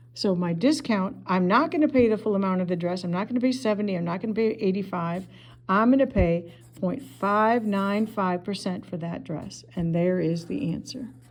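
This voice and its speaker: A woman at a moderate pace, a normal speaking voice, medium pitch and ordinary pitch variation. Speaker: math teacher. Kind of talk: tutorial. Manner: casual.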